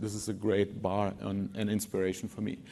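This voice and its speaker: With a German accent, a man speaks at a fairly quick pace over a quiet background. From Germany, Wolfsburg. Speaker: design lead. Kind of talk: conference talk. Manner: halting, many repeated words.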